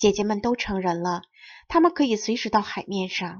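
A woman speaks at a moderate pace, medium in pitch, with ordinary pitch variation. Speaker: Chinese teacher and audiobook narrator. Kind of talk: reading aloud. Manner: clear, precise enunciation.

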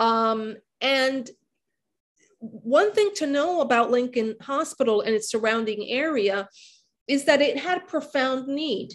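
A woman with an American accent speaks very slowly in a high, lively voice. The background is quiet. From New York City, the Bronx. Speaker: history professor and author; history professor. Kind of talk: academic book discussion. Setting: video call. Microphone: video call.

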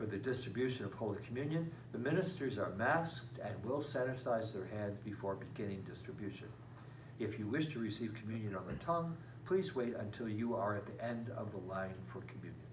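Noticeable background noise accompanies a man talking. He speaks at a fairly quick pace with ordinary pitch variation. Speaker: parish priest. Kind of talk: parish announcements. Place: classroom. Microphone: camera far.

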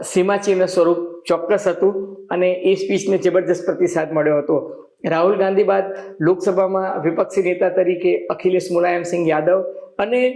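Over noticeable background noise, a man speaks at a high pitch in a monotone, flat intonation with very even loudness. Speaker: journalist and political commentator. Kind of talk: news analysis monologue.

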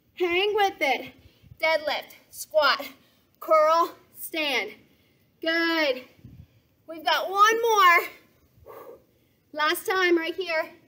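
At a very slow pace with long, frequent pauses, a woman uses a raised, projected voice with a bright, sharp tone and ordinary pitch variation against a quiet background. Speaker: fitness instructor. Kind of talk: workout instruction and cueing. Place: garden.

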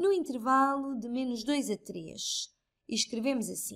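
A woman with a European Portuguese accent speaks at a very slow pace and a high pitch. The recording is very clean, with a silent background. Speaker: math tutor. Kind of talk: tutorial.

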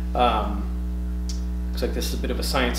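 Background noise is noticeable. A man talks over it. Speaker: comic shop owner or staff. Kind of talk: casual product unboxing video. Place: shop. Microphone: camera far.

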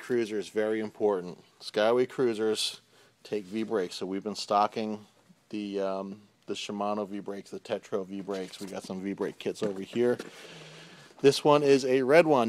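Speaking at a moderate pace, a man uses a normal speaking voice at a fairly low pitch, with ordinary pitch variation and big swings in loudness. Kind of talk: casual product walkthrough. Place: shop. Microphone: phone near.

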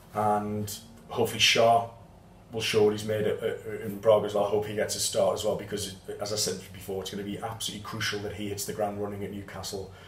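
The speech runs at a very fast pace with monotone, flat intonation. Audible room echo fills the recording. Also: man, fairly low pitch for a man. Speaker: football fan channel host. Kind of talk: match report to camera. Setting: outdoors in Porto after the match. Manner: halting, many fillers.

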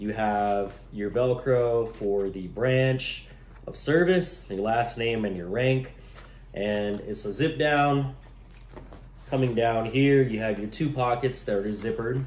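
Audible room echo surrounds a man speaking at a very slow pace with ordinary pitch variation. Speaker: gear reviewer. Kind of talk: casual gear review to camera. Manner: casual, hesitant with many fillers. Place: kitchen. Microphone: phone near.

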